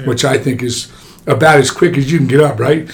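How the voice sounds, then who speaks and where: A man with an American accent talks at a fairly high pitch with fairly even intonation over noticeable background noise. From New Jersey. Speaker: orthopaedic surgeon. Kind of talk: casual interview.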